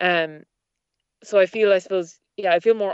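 A woman with a west of Ireland accent, fairly even intonation and a fairly quick pace. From Ireland, Achill Island (Mayo). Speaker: former political candidate. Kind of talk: interview.

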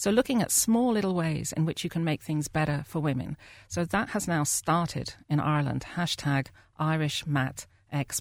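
At a moderate pace, a woman speaks with a very deep, low pitch in a very clean recording with a silent background. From UK. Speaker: maternity advocacy group chair. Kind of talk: studio discussion. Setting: studio.

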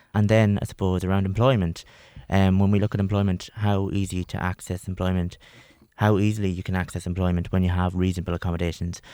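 Very fast and monotone, with flat intonation, a man speaks with a very deep, low pitch, a dark, mellow tone and an Irish accent. The recording is very clean, with a silent background. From Longford, Ireland. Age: 20s. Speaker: policy officer. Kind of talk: panel discussion.

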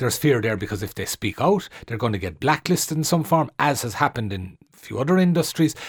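In an Irish accent, a man talks very fast with hardly any pauses, his medium-pitched voice somewhat breathy and swinging very widely in pitch, on a very clean recording with a silent background. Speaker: journalist and author. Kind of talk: radio panel discussion. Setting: radio studio.

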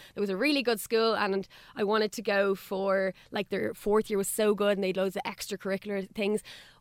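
With an Irish accent, a woman speaks at a fairly quick pace and medium pitch in a monotone, flat intonation, the sound dry and close with no echo. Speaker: radio presenter and Irish language worker. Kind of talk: radio interview.

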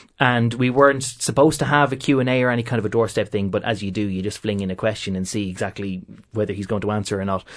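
A man with an Irish accent speaks at a very fast pace in a fairly low pitch, with ordinary pitch variation. The background is quiet. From Ireland, County Meath. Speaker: political correspondent. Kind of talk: panel discussion.

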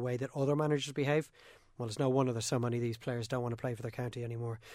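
A man's flat, monotone delivery at medium pitch, with an Irish accent, in a very clean recording with a silent background. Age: 30s. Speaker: sports podcast host. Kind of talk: casual sports discussion podcast.

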